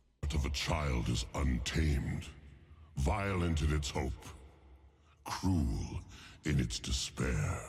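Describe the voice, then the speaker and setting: In a put-on character voice, a man growls with very deep, low pitch and a menacing tone, at a fairly slow pace with long, frequent pauses. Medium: video game. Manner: menacing, contemptuous.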